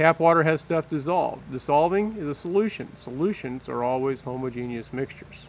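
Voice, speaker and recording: Hardly any pauses break up this man's fairly quick pace. His pitch is fairly high, with ordinary pitch variation. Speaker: science teacher. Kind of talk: test review walkthrough. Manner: fast; casual, with fillers.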